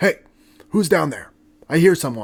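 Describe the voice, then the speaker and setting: In a put-on character voice, a man speaks at a moderate pace with a raspy, high-pitched sound. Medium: solo performance. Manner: friendly, reassuring.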